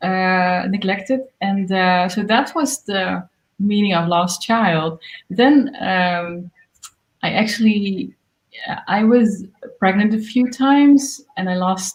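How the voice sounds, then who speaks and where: A woman with a Dutch accent, medium pitch, ordinary pitch variation, a somewhat breathy quality and a very slow pace. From Netherlands. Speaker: singer-songwriter. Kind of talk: interview. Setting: livestream. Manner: halting.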